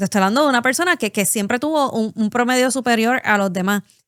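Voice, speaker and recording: A woman with a Puerto Rican accent talks at a fairly quick pace in a fairly high voice, her pitch swinging very widely. The recording is very clean with a silent background, and the sound is dry and close with no echo. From Puerto Rico. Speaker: podcast co-host. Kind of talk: casual chat.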